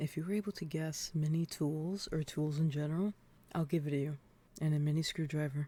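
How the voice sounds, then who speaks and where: The voice is soft-spoken and keeps a moderate pace. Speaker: ASMR creator. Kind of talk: ASMR soft-spoken guessing game, talking to the listener.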